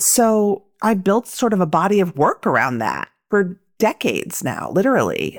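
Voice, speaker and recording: A woman's voice with vocal fry, lively intonation and a moderate pace, on a very clean recording with a silent background. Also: medium pitch for a woman, dry, close sound with no echo. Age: 40s. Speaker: author and podcast host. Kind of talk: interview.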